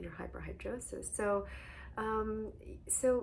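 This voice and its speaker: A soft-spoken woman talks amid audible room echo. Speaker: hyperhidrosis coach. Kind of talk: guided meditation.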